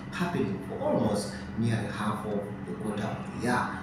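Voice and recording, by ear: Background noise is clearly heard along with audible echo from the room. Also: man.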